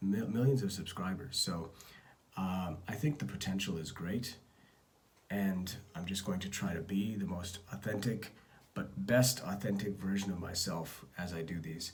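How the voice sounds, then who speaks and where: A man speaks at a moderate pace with ordinary pitch variation amid audible room echo. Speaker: entrepreneur vlogger. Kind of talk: casual vlog update. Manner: understated; halting.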